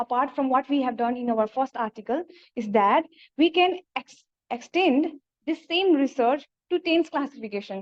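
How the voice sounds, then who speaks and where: Speaking with a Nepali accent, a woman uses a high voice. Her intonation is lively. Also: moderate pace, dry, close sound with no echo. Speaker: PhD researcher presenting a paper. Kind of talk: conference presentation. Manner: halting.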